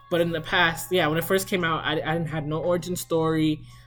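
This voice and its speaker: With music in the background, a woman speaks at a fairly quick pace in a very deep, low pitch. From US, child of immigrants. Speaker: author. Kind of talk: casual vlog talk. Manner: fast; casual, filler-heavy.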